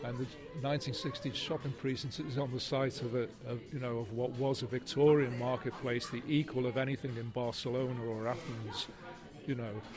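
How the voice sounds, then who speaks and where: Over music in the background, a man talks at a fairly quick pace in a medium pitch with a monotone, flat intonation. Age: 60s. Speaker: writer. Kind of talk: interview. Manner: halting.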